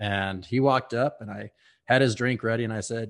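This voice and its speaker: Against a quiet background, a man with an American accent speaks at a medium pitch with ordinary pitch variation. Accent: Texan, varies in strength. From Texas, Houston. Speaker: whiskey brand ambassador. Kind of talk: casual interview chat.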